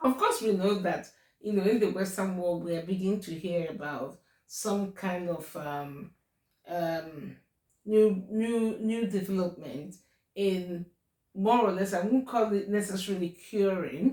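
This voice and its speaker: In a Nigerian accent, a woman speaks at a medium pitch with a dark, mellow tone. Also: ordinary pitch variation, fairly slow pace. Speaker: YouTuber. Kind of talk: casual advice talk to camera. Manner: hesitant, many fillers.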